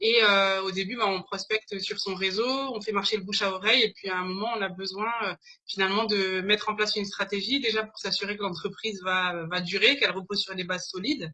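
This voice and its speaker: Fairly quick and fairly even in intonation, a woman talks at a medium pitch. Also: hardly any pauses. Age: 30s. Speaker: business consultant. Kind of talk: interview. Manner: hesitant, many fillers.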